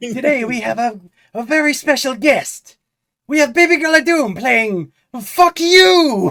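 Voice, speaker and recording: In a high-pitched, put-on character voice, the speaker goes at a fairly slow pace. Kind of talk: podcast host welcoming a guest. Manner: crude, gruff.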